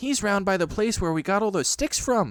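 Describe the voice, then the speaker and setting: A man puts on a squeaky character voice, high in pitch, at a moderate pace with very even loudness. The recording is very clean with a silent background. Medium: read story.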